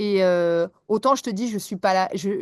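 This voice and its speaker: Lively in intonation and fairly slow in pace, a woman talks in a normal speaking voice, with a dry, close sound with no echo and a quiet background. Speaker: English teacher. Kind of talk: podcast interview.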